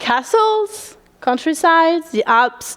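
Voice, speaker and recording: The voice carries a French accent. Its pitch swings very widely. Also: woman. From France, Paris. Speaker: student presenter. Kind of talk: presentation.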